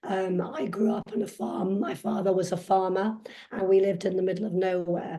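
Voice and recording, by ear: A woman with a dark, mellow tone and medium pitch speaks at a moderate pace, with room echo audible. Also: fairly even intonation.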